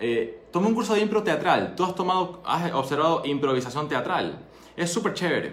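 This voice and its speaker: This man talks at a moderate pace in a fairly high voice, his pitch swinging very widely, with audible room echo around him. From Ecuador. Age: 20s. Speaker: doctor and entrepreneur. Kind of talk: solo monologue talk. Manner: conversational.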